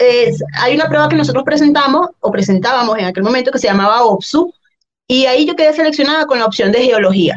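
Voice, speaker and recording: A woman talks at a very fast pace in a high voice, her pitch swinging very widely while her loudness stays very even. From Venezuela, Valencia (Guacara), central region. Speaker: personal trainer. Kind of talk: casual chat.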